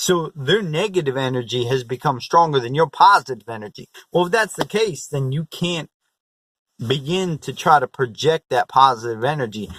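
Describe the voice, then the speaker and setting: Recorded very cleanly with a silent background and a dry, close sound with no echo, a man with an unremarkable speaking voice talks at a moderate pace in a fairly high pitch with lively intonation. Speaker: motivational vlogger. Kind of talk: motivational vlog talk.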